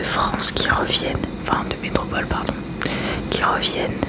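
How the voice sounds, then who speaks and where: Whispering from a woman, with noticeable noise behind her. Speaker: ASMR creator. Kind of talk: casual talk to camera, ASMR makeup-removal chat. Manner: whispered, soft-spoken.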